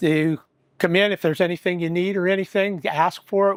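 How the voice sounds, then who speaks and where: A man's high-pitched voice, dry and close with no echo, in a very clean recording with a silent background. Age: 60s. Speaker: small business owner. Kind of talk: casual interview.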